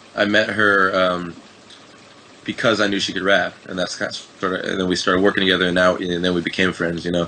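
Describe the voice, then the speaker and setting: A man with an American accent races along at a very fast pace in a very deep, low voice and monotone, flat intonation over noticeable background noise. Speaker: rapper and music producer. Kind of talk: casual interview. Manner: hesitant, many fillers.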